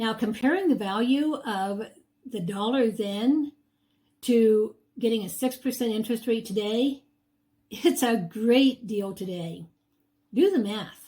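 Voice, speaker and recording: A woman with a somewhat breathy, fairly high voice and ordinary pitch variation speaks at a fairly slow pace with long, frequent pauses. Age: 70s. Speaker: real estate agent. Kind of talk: sales pitch.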